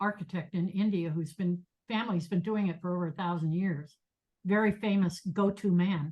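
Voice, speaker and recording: Somewhat breathy, a woman speaks with a fairly low pitch. Her intonation is fairly even and her pace moderate. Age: 70s. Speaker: meditation teacher. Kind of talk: lecture. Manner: halting.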